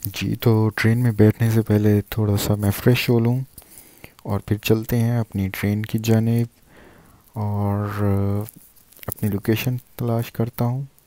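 This man talks at a fairly slow pace in a monotone, flat intonation, his tone dark and mellow and the sound dry with no echo. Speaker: travel vlogger. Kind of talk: casual vlog chat. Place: station. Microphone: earbuds.

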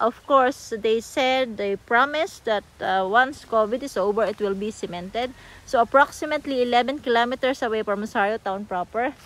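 Her pace moderate and her pitch varying in an ordinary way, a woman speaks with hardly any pauses in a dry sound with no echo. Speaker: property seller vlogger. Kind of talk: casual vlog chat. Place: open country. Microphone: phone near.

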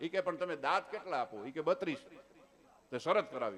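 A man is speaking. His pitch sits high. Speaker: folk storyteller and comedian. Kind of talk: dayro stand-up storytelling.

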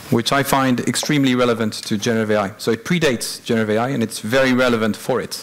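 A man talks fairly quickly while noticeable noise runs in the background. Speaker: conference presenter. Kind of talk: conference talk. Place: hall.

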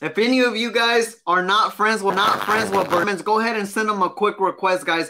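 A raised, projected voice in an animated tone, fairly quick with hardly any pauses, against noticeable background noise. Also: man, high pitch for a man. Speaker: business coach. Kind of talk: live stream course. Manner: fast. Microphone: webcam.

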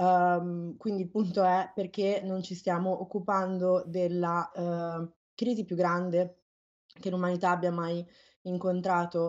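A woman speaks at a very slow pace in a flat monotone, her pitch medium. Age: 30s. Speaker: climate activist. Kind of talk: interview. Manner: halting.

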